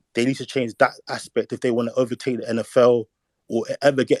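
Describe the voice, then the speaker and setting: In a London accent, a man at a medium pitch speaks with fairly even intonation in a dry, close sound with no echo. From London, England. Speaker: caller in online discussion. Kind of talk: casual discussion. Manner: halting.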